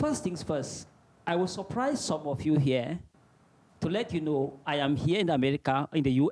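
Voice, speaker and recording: A man speaks with a Cameroonian accent. His pitch is fairly high and his intonation lively. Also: dry, close sound with no echo. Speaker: visiting Fulbright scholar, teacher. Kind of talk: presentation. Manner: formal.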